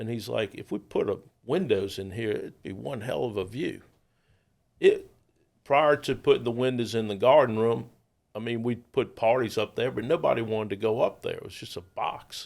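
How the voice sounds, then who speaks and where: A man with a New Orleans accent speaks at a moderate pace, his loudness swinging widely, on a very clean recording with a silent background. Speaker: restaurateur. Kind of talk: casual interview chat.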